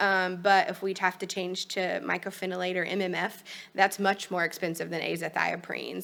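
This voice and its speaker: A woman speaks in a bright, sharp tone at a fairly low pitch with monotone, flat intonation. The recording is very clean, with a silent background. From Kentucky. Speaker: pediatric liver doctor. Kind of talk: medical presentation. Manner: fast.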